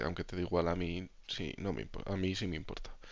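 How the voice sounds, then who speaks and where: Vocal fry runs through a man's very deep, low voice. He speaks at a moderate pace with ordinary pitch variation. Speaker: gaming streamer. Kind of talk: casual chat. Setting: live stream.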